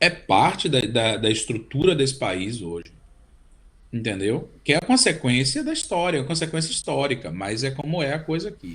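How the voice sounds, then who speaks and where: A man talks with vocal fry at a moderate pace. His fairly high pitch swings very widely. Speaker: cellist and composer. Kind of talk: interview. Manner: halting, repeats words.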